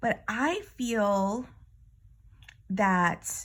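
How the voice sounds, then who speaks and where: Somewhat breathy woman at a medium pitch with ordinary pitch variation, on a very clean recording with a silent background. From New York, Bronx. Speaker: astrologer and hypnosis teacher. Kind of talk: spiritual card reading monologue. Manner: casual, halting with self-corrections.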